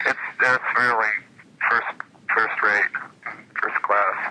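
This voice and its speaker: Male speech at a moderate pace amid noticeable background noise. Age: 40s. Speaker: musician, keyboardist. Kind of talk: interview answer. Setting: phone line.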